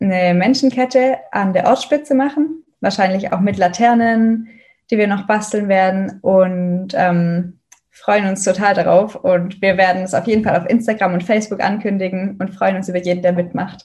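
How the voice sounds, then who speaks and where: The woman's voice is medium-pitched and somewhat breathy. She talks fairly slowly with ordinary pitch variation. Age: 20s. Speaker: student activist. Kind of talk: interview.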